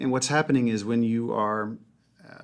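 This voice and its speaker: A man with an unremarkable speaking voice and an American accent, moderate pace and fairly even intonation. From US South, Mobile, Alabama. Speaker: leadership author and speaker. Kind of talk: casual interview. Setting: studio.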